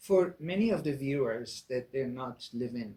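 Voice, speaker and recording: Somewhat breathy, a medium-pitched man talks at a moderate pace with lively intonation. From Iran. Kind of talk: interview host.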